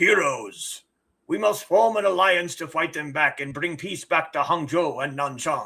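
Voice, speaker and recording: A man puts on a raspy character voice, high-pitched. He keeps a moderate pace. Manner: dramatic, grand.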